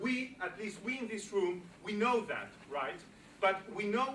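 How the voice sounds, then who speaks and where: A man with a Greek accent talks at a fairly slow pace and a high pitch. Noticeable background noise is present. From Greece. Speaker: political speaker. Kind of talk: public speech.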